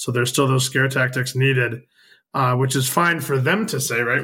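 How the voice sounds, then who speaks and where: A man uses a normal speaking voice, medium in pitch, moving at a moderate tempo. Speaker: podcast co-host, hemp advocate. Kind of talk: casual chat.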